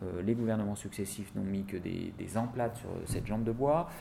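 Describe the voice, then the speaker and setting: A fairly low pitch and a dark, mellow tone mark this man's voice. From France, Seine-Saint-Denis (La Courneuve). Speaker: politician. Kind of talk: interview. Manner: hesitant with frequent fillers.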